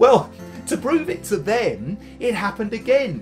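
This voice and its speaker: Music is clearly audible behind the voice. The speaker is a man. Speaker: poet performer. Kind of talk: dramatic poetry reading. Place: home room.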